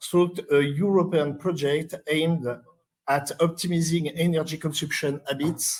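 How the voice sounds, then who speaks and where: In a monotone, flat delivery, a man with a fairly high voice speaks at a fairly slow pace. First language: French. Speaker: conference presenter. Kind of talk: conference presentation read aloud. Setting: conference session. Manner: halting, many hesitations.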